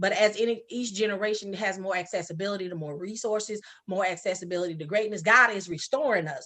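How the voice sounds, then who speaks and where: A woman at medium pitch with an American accent and a bright, sharp tone, very fast with hardly any pauses and ordinary pitch variation. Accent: Geechee-tinged, people say she talks funny. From Sacramento, California. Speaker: author and social worker. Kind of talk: casual interview chat.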